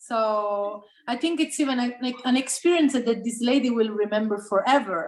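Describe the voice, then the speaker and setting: In a Sicilian accent, a woman talks at a moderate pace with a high pitch and ordinary pitch variation. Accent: Italian (Sicilian) accent in English. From Sicily, Italy. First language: Italian. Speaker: interpreter and co-host of a genealogy group. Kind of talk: casual group meeting with live interpreting.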